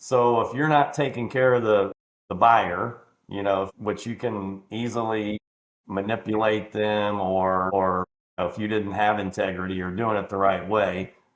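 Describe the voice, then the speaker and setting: In a plain, everyday voice, a man talks at a fairly slow pace with a fairly low pitch and fairly even intonation. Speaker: podcast host, car dealer. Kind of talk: podcast interview, conversational.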